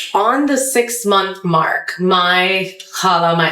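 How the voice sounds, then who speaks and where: Amid noticeable background noise and audible room echo, a woman with an American accent speaks in an animated tone. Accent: American, often thought fake in Pakistan. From US, Potomac, Maryland. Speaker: journalist and comedian. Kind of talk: interview conversation. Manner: loud.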